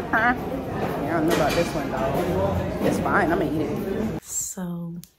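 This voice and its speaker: A woman speaks with an American accent at a fairly slow pace. Her voice sits fairly low. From United States. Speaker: travel vlogger. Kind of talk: casual vlog chat. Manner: whispering at times.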